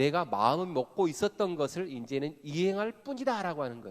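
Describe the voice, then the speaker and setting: Spoken in a Jeolla accent, this voice has an animated tone and very wide pitch swings. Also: man. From Korea, Jeolla (Gwangju). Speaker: pastor / seminar speaker. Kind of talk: sermon-style seminar talk. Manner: animated, engaging audience with questions.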